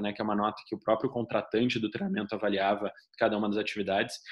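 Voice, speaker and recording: A man with a southern Brazilian accent, medium pitch, fairly even intonation and a very fast pace. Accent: gaúcho (southern Brazilian). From southern Brazil (Rio Grande do Sul). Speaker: leadership trainer. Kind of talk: online course lecture. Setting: recorded online class.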